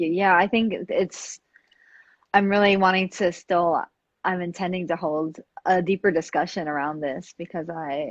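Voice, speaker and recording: In an American accent, a woman with a normal speaking voice talks at a moderate pace, her fairly low pitch carrying fairly even intonation. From New York, the Bronx. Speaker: podcast host and dance performer. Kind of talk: casual interview. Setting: live video stream.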